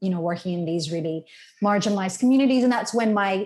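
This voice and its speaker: A woman with an Australian accent, medium pitch, lively intonation and a somewhat breathy voice, on a very clean recording with a silent background. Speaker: conservation lobbyist. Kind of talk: interview conversation.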